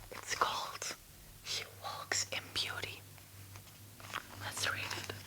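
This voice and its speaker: Someone whispers in a playful tone at a very slow pace, with noticeable background noise. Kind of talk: poetry reading. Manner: whispered, playful, flubbing words and laughing at herself.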